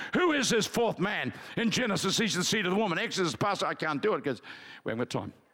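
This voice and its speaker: Against noticeable background noise, a man with an Australian accent speaks very fast in a high voice with lively intonation. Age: 70s. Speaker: pastor. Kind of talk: sermon. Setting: church. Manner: animated.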